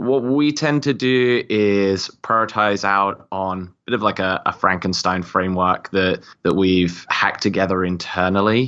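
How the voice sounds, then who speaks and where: Fairly slow speech from a man with a British accent, fairly low in pitch, with ordinary pitch variation. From UK. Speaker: marketing executive. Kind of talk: interview, casual chat.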